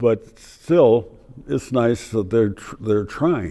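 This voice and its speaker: A man speaks at a very slow pace. His voice is fairly low, with a dark, mellow tone. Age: 90s. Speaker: war veteran. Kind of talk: interview. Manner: halting.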